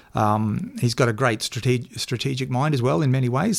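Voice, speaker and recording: In a very clean recording with a silent background, a man with an Australian accent speaks at a fairly quick pace with ordinary pitch variation. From Queensland, Australia (Toowoomba). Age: 50s. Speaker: journalist and former political media advisor. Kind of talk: interview. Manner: halting, frequent fillers.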